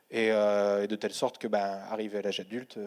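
A man speaks at a moderate pace in a fairly low pitch with a dark, mellow tone. The recording is very clean, with a silent background. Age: 30s. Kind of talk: panel testimony.

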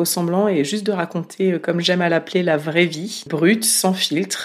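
Using an ordinary speaking voice, a woman talks at a fairly slow pace in a fairly low pitch with fairly even intonation. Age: 30s. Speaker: independent podcaster. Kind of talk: interview. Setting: home office.

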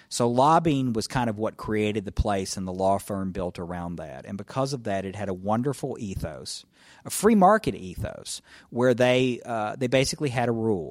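In a Tennessee accent, a man speaks at a medium pitch with lively intonation. His pace is moderate, and the recording is very clean with a silent background. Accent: Southern US (Tennessee). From US South, northwest Tennessee. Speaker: federal judge. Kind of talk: interview.

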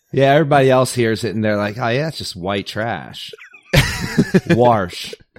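At a fairly slow pace, a man speaks with lively intonation and medium pitch. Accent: American. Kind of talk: casual chat.

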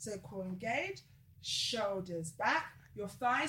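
In a South London accent, a woman speaks at a medium pitch with a bright, sharp tone, vocal fry and very wide pitch swings. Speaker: female empowerment coach. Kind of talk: casual chat; instruction.

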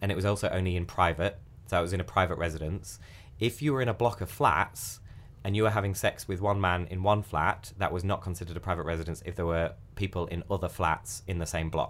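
A man with a British accent talks at a very fast pace in a very deep, low pitch with ordinary pitch variation. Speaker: podcast host. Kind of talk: casual chat.

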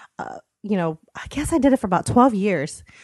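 A woman speaks in a plain, everyday voice, fairly high in pitch with lively intonation. The sound is dry and close, with no echo. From United States. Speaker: subscription box founder. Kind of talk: casual interview chat. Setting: in person.

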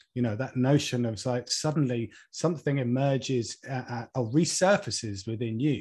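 The speaker's somewhat breathy voice moves at a moderate pace against a quiet background. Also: man. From Norfolk, England. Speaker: environmental campaigner and author. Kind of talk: interview. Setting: video call.

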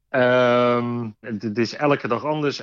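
In a slight Rotterdam accent, a man speaks at a medium pitch with fairly even intonation and a dry, close sound with no echo. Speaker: train conductor. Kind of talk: interview.

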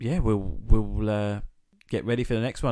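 Heard on a very clean recording with a silent background, a voice with an English accent moves at a moderate pace in a dark, mellow tone with ordinary pitch variation. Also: man. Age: 30s. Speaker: podcast co-host. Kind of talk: casual chat.

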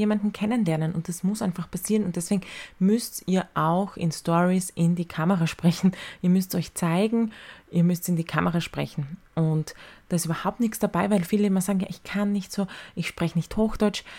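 In a very clean recording with a silent background, a woman speaks at a moderate pace in a dark, mellow, somewhat breathy tone with fairly even intonation. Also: medium pitch for a woman. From Austria, Styria. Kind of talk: solo podcast talk. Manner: casual.

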